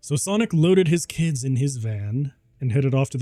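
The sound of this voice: Lively intonation in an unforced reading voice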